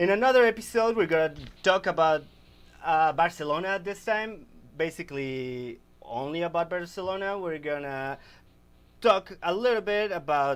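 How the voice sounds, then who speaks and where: Speaking in a Spanish accent, a man has a high pitch and lively intonation. His pace is moderate. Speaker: football podcast host. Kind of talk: casual sports chat. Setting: live stream. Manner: halting, stumbling over words.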